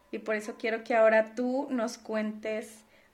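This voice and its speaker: In an ordinary speaking voice, the speaker goes at a fairly slow pace. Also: woman. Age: 30s. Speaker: podcast co-host, finance professional. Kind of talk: casual chat.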